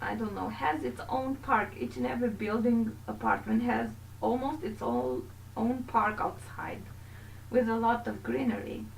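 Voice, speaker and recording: A woman speaks at a fairly slow pace with a Romanian accent. Audible room echo surrounds her voice. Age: 20s. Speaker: gaming YouTuber. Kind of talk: video game voiceover commentary. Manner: casual, halting.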